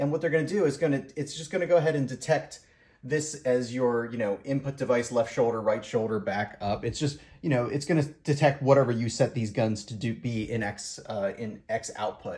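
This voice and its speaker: A man talks at a fairly quick pace, a little breathy. His pitch sits in the medium range with ordinary pitch variation. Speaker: hobbyist YouTuber answering viewer questions. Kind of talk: tutorial. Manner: fast; hesitant, many fillers.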